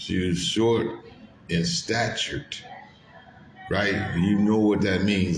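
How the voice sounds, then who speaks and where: In a room with audible echo and noticeable background noise, a man speaks. His pace is very slow and his pitch fairly low. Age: 50s. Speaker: truck driver and vlogger. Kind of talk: casual monologue.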